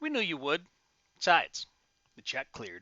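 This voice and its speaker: A put-on character voice at a moderate pace. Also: man. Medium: read story. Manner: terse, guarded.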